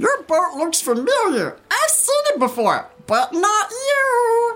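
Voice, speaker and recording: Woman's put-on character voice, squeaky and extremely high, with very wide pitch swings at a fairly slow pace. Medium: read story. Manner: terse, dry.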